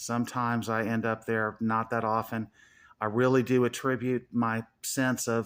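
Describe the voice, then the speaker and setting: Over a silent background in a very clean recording, a man with an American accent speaks fairly slowly at a medium pitch in a flat monotone. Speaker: YouTuber. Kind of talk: casual monologue.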